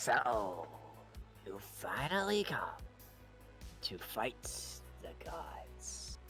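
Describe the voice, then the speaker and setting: In a soft-spoken, put-on character voice with some hissing, the speaker talks at a very slow pace with long, frequent pauses while clear music plays in the background. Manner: soft, menacing.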